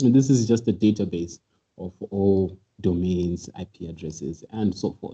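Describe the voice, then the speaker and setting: A man speaks at a very deep, low pitch with ordinary pitch variation and a dark, mellow tone. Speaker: cybersecurity presenter. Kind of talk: webinar tutorial. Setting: online webinar. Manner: fast.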